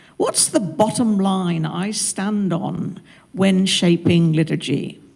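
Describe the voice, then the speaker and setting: Speaking at a very slow pace with ordinary pitch variation, the voice comes in a southwest English accent. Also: woman, medium pitch for a woman. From southwest England, Devon-Cornwall border. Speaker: minister. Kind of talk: panel talk.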